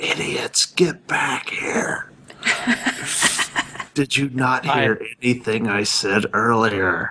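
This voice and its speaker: The speaker uses a put-on character voice, raspy and low-to-middle in pitch. Delivery is very slow. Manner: hissing, angry, commanding.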